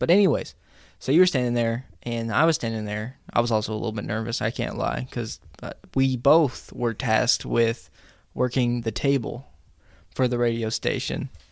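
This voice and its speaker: A man's plain, everyday voice with medium pitch and ordinary pitch variation at a moderate pace, in a very clean recording with a silent background. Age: 20s. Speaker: college student and radio worker. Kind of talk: casual interview chat. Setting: studio.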